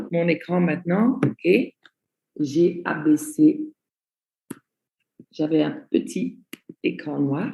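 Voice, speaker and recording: Somewhat breathy and dark, mellow in tone, a woman speaks at a very slow pace with long, frequent pauses and very wide pitch swings. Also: fairly low pitch for a woman. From Belgium. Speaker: network marketing trainer. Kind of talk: online training presentation. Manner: slow, deliberate.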